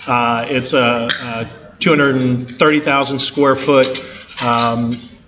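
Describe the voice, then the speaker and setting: Amid noticeable background noise, a man with a medium-pitched voice speaks with fairly even intonation. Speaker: construction manager. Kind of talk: presentation talk. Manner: fast; informal.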